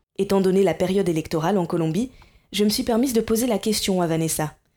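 Heard on a very clean recording with a silent background, a woman with a dark, mellow tone speaks at a fairly quick pace. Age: 20s. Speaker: journalist and podcaster. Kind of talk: scripted narration.

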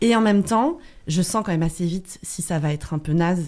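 A dark, mellow tone at a fairly quick pace. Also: woman. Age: 30s. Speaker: guest sharing personal experience. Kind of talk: testimony.

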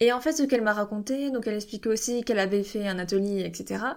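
A very fast pace with ordinary pitch variation in a very clean recording with a silent background. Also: woman. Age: 20s. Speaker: podcast host, parenting coach. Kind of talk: solo podcast monologue.

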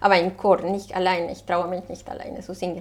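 A woman speaks with a Spanish accent at a moderate pace. Her pitch sits in the medium range. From Colombia, Bogotá. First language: Spanish (speaking German). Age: 40s. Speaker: waste management advisor. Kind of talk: interview. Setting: restaurant.

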